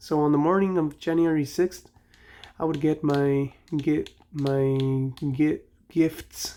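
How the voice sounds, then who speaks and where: Speaking with a Mexican accent at a very slow pace, the voice leaves long, frequent pauses. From Mexico. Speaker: gaming youtuber. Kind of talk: casual gameplay commentary. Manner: rambling, conversational.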